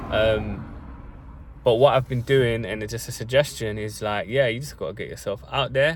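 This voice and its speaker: A man speaks with a London accent. His pace is moderate. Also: big swings in loudness. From South London. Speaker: vlogger. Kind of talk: casual monologue to camera. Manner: casual, with many fillers.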